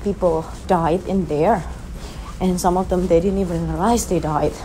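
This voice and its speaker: A woman speaks with a fairly low pitch. Light background noise is audible. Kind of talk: casual vlog chat. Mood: hushed, slightly spooked storytelling. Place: hall. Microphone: phone near.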